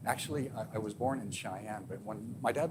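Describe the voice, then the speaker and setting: Fairly low-pitched male voice, fairly quick in delivery, pitch varying in an ordinary way, noticeable background noise behind it. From Wyoming. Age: 60s. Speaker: sheriff. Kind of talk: public talk Q&A. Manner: halting.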